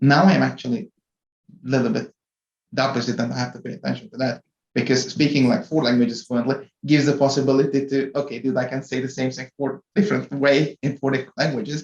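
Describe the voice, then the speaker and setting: This man talks very fast in a Hungarian accent, his voice at a medium pitch with ordinary variation. Vocal fry runs through his speech. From Hungary. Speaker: corporate IT executive. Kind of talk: podcast interview.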